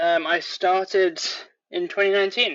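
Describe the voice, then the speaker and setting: With a British accent, a man talks at a fairly slow pace. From England. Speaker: leatherworker. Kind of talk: casual interview.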